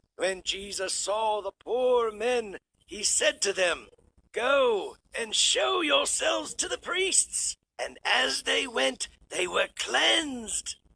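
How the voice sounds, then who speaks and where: A man in a cartoonish character voice speaks very slowly at an extremely high pitch. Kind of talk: Bible storytelling.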